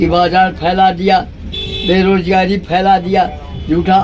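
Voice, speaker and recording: Noticeable background noise under a man's high voice. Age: 80s+. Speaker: political march participant. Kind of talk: interview answer.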